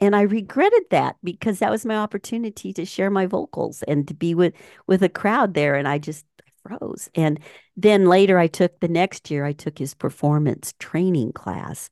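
With an ordinary speaking voice, a woman talks at a moderate pace and fairly low pitch with lively intonation, the sound dry and close with no echo against a quiet background. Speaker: podcast host and musician. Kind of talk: casual interview. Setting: studio.

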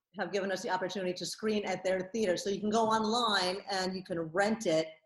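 A woman speaks in an unremarkable speaking voice at a medium pitch. Her pace is moderate. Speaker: filmmaker. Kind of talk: casual interview.

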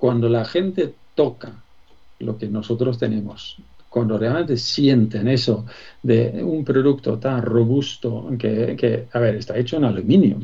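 A man talks at a medium pitch in a dark, mellow tone, somewhat breathy. His pace is fairly slow, with ordinary pitch variation. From Sweden. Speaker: business executive. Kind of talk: interview. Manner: hesitant, many fillers.

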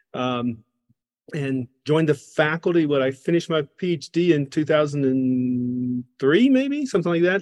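Here is an ordinary speaking voice with an American accent, moving at a fairly slow pace with ordinary pitch variation. The sound is dry and close, with no echo. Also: man, fairly high pitch for a man. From US South, Georgia. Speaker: professor of practice. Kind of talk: interview conversation.

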